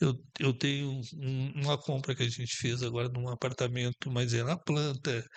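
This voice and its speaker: A man at medium pitch and a moderate pace, with monotone, flat intonation and a quiet background. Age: 70s. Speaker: business owner. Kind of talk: podcast interview. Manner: halting, with many repetitions.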